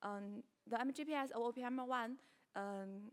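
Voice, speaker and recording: At a moderate pace, a woman with a Chinese accent speaks with a fairly high pitch and fairly even intonation. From China. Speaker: researcher presenting at conference. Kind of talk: conference Q&A. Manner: halting, many fillers.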